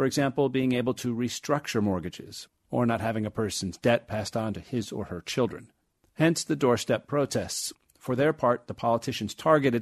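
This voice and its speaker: A man's voice, a normal speaking voice at medium pitch, moderate in pace with ordinary pitch variation, dry and close with no echo against a quiet background. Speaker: radio correspondent. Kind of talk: formal newsreading, scripted radio report delivered in a steady, polished broadcast voice. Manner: formal; measured, even-paced, clear and authoritative.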